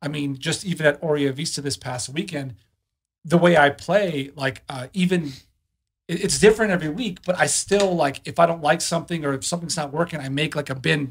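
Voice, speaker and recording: Over a quiet background, a somewhat breathy man with a fairly high pitch talks at a fairly quick pace, with ordinary pitch variation and big swings in loudness. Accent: American. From Chicago. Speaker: club DJ. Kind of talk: casual chat. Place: studio. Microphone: studio mic.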